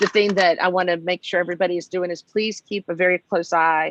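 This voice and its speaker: Fairly quick delivery with a dry, close sound and no echo. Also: woman. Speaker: federal policy consultant. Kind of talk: briefing. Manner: fast.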